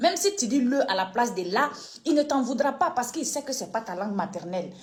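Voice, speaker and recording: A woman speaks at a high pitch that swings very widely. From Côte d'Ivoire, Koulango people (northeast). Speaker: online political commentator. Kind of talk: video commentary rant. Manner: animated, emphatic.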